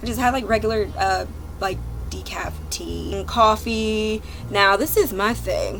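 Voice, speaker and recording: Music plays in the background and room echo is audible as a woman with an American accent speaks. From South Jersey, near Philadelphia. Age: 20s. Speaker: YouTube vlogger. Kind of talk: casual chat. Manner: animated.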